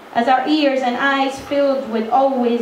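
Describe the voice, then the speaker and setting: A woman's high voice at a fairly slow pace, with audible room echo and noticeable background noise. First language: French. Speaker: spoken word performer. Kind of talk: spoken word performance.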